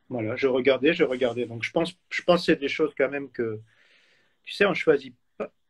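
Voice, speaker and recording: A somewhat breathy man speaks with big swings in loudness and long, frequent pauses, recorded with a dry, close sound and no echo. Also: fairly high pitch for a man, ordinary pitch variation, fairly quick pace. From Switzerland. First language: German (speaking French). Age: 40s. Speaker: photographer. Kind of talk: interview. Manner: halting.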